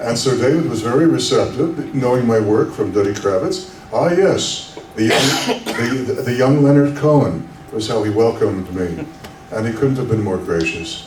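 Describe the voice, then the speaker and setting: A man's medium-pitched voice in a Canadian accent with lively intonation, noticeable background noise and audible room echo. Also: moderate pace. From Canada. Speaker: actor. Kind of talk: convention panel Q&A.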